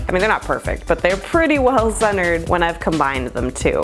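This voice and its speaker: Background music accompanies the recording. A woman speaks over it. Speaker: potter and artist. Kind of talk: casual talk to camera.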